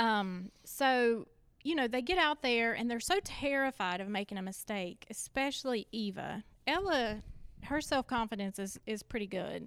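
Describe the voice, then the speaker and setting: A woman talks at a moderate pace in an ordinary speaking voice. Her pitch is fairly high and her intonation lively. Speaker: church member and parent. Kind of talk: casual chat.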